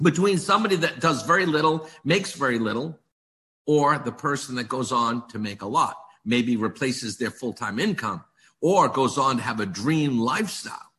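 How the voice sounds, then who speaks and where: An animated man with an American accent, fairly high-pitched and bright, sharp in tone, at a moderate pace with very wide pitch swings. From US, Maine. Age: 60s. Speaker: direct-selling business leader. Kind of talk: motivational sales pitch.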